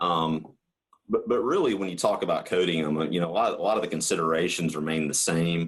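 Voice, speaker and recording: A man speaks with a Southern US accent. His pitch is very deep and low, and his pace is fairly quick. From US South. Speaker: coatings market manager. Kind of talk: podcast interview. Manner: halting, many fillers and repeats.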